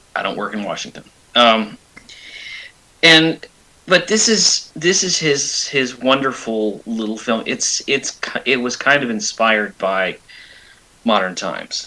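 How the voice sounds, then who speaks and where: Over noticeable background noise, a man with a medium-pitched voice speaks at a fairly slow pace, with lively intonation and long, frequent pauses. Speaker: movie podcast host. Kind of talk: casual chat.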